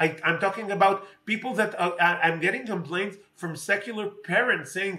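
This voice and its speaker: Speaking in an Israeli accent, a man uses a raised, projected voice at a high pitch, with fairly even intonation and a moderate pace. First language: Hebrew. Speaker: politician. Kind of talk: interview. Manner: halting, many fillers.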